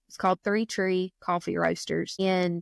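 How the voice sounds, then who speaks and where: On a very clean recording with a silent background and a dry, close sound with no echo, a woman speaks with a South Georgia accent at medium pitch with fairly even intonation. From South Georgia, US (Baxley). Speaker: foster and adoptive mother, coffee shop owner. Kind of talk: casual interview chat.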